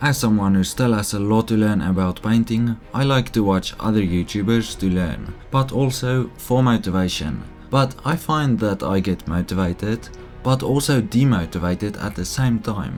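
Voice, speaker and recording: With music playing behind him, a man talks at a moderate pace in a fairly low pitch with lively intonation. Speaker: model railroad hobbyist. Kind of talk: casual voice-over narration.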